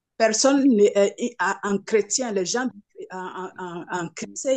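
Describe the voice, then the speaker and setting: Very slowly, a woman with a medium-pitched voice speaks with ordinary pitch variation. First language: not French (speaking French). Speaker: participant asking a question. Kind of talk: question to preacher. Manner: halting, stammering.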